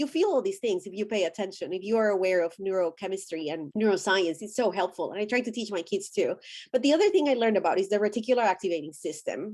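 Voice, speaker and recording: In a Spanish accent, a woman talks very fast with lively intonation. Her pitch is medium and the background is quiet. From Colombia. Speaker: deconstruction thought-leader. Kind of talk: interview.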